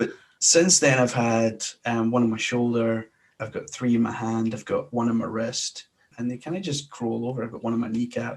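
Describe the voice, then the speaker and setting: Here a man speaks in a Scottish accent at a medium pitch. His pace is moderate and his pitch variation ordinary. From Glasgow, Scotland. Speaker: sports podcaster. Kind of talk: interview answer.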